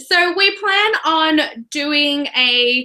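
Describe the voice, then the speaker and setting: An Australian-accented woman projects her extremely high-pitched voice with a bright, sharp tone and ordinary pitch variation. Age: 20s. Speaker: book reviewer. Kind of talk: casual chat. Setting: video call.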